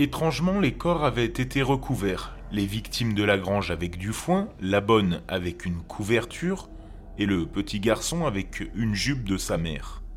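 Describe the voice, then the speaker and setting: A man with an ordinary speaking voice talks at a fairly slow pace. His pitch is fairly low and his intonation lively. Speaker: podcast host, horror storyteller. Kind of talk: true-crime narration, scripted storytelling read in a hushed late-night horror tone. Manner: slow, measured, grave.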